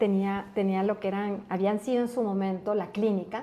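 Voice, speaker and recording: Speaking with an Ecuadorian accent, a woman uses a medium pitch, a dark, mellow tone and monotone, flat intonation at a moderate pace. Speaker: pharmaceutical company country manager. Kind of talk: interview. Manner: halting.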